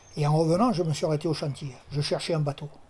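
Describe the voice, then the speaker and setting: A man speaks at a fairly high pitch. Noticeable background noise sits behind him. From Tunisia (Sousse), later Marseille. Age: 70s. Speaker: retired plumber, amateur fisherman. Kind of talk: oral history testimony interview. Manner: hesitant, many fillers.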